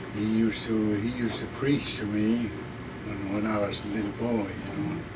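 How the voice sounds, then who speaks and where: A man with a fairly low pitch talks at a moderate pace and fairly even intonation, with noticeable background noise behind him. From Alaska. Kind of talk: oral history interview answer.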